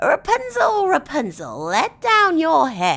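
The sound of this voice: A put-on character voice, high-pitched, gravelly and raspy, delivered at a fairly slow pace.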